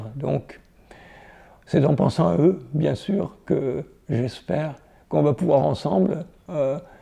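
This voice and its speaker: Using a fairly high pitch with very wide swings, a man talks at a very slow pace with long, frequent pauses, his dark, mellow tone marked by vocal fry. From France, Jura. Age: 70s. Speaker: ecologist, scientist. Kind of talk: interview. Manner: halting, many repetitions and hesitations.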